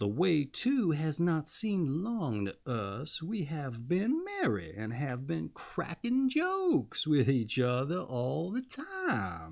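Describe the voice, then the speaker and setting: In a put-on character voice, a man speaks at a fairly high pitch and a fairly slow pace, with hardly any pauses. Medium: read story. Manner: mocking, sly.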